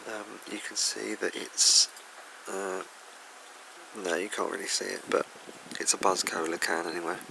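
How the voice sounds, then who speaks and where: Soft-spoken man with an English accent at a moderate pace, against noticeable background noise. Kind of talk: ASMR soft-spoken toy review. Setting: room with a fan running. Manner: soft-spoken, hesitant.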